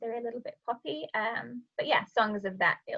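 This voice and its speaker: In a Yorkshire accent, a woman speaks at a moderate pace with a high pitch and lively intonation. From northern England, Sheffield, South Yorkshire. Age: 20s. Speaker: vocal mindset coach and musical theatre singer. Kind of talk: podcast interview.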